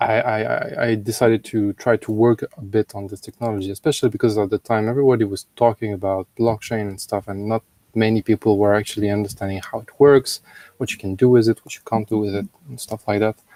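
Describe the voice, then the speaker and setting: With a French accent, a man talks at a very fast pace in a fairly low voice with a dark, mellow tone, fairly even intonation and big swings in loudness, on a very clean, dry, close recording with a silent background and no echo. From France. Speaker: blockchain lead at an insurance company. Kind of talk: interview. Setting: live stream.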